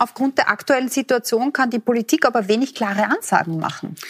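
A woman speaks in a high pitch with lively intonation at a moderate pace, recorded dry and close with no echo. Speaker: TV host, moderator. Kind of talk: moderating a TV forum.

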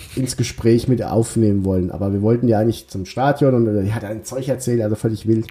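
Somewhat breathy and dark and mellow in tone, the voice varies its pitch in an ordinary way. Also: man. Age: 30s. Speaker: football podcast host and journalist. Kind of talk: casual chat.

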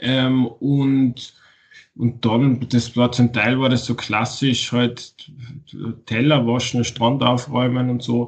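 At a very slow pace, a man speaks at a medium pitch with monotone, flat intonation and very even loudness. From Austria, Tyrol. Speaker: author. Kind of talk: interview. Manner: halting.

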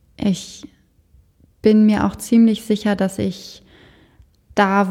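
Somewhat breathy, this voice is heard. Its tone comes across dark and mellow. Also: woman. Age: 20s. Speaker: death doula and funeral director. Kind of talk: interview.

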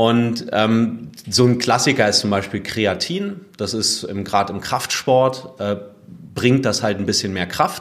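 Ordinary pitch variation marks this very slowly delivered speech. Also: man, medium pitch for a man. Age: 30s. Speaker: fitness blogger and podcaster. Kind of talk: interview.

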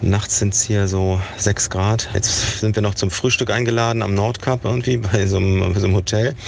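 Monotone and flat, a man's fairly low voice moves at a moderate pace with hardly any pauses and very even loudness. Noticeable background noise runs underneath. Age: 50s. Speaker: photographer and long-distance cyclist. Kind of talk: video diary. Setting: on the road, in a car and outdoors. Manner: hesitant with many fillers.

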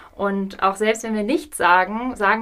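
This is a woman with a normal speaking voice. Her pitch sits in the medium range. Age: 30s. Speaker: hospice coordinator. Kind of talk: interview.

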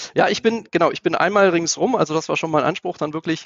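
The speaker is a man with a fairly high voice. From Lower Saxony, Germany (Einbeck). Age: 40s. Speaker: business executive. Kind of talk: interview. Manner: hesitant, many filler sounds.

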